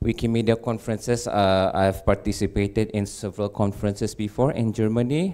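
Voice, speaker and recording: A man's fairly low voice, dark and mellow, at a moderate pace against a quiet background. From Malaysia. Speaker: electrical engineer, cosplayer, community leader; conference presenter. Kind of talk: conference talk. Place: hall.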